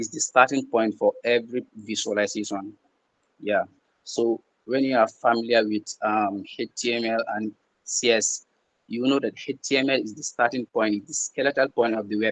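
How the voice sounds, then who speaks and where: This man's voice sits at a medium pitch, with a dry, close sound and no echo. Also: fairly even intonation, moderate pace. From the Gambia. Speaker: peer tutor. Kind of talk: online tutorial. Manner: halting, with repetitions and fillers.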